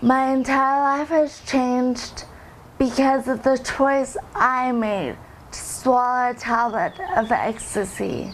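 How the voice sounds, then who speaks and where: Her voice sits at a high pitch with ordinary pitch variation, at a very slow pace. A woman speaks over noticeable background noise. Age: 20s. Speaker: recovering drug user. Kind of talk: testimony.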